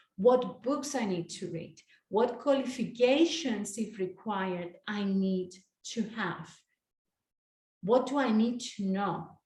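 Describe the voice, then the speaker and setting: A woman's somewhat breathy, dark, mellow voice at a fairly high pitch, with ordinary pitch variation and a very slow pace. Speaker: life coach. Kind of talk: online master class.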